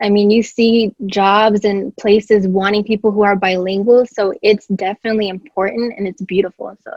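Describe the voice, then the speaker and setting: Barely pausing, a woman speaks at a moderate pace and medium pitch with monotone, flat intonation. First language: Spanish. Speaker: podcast guest. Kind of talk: casual chat.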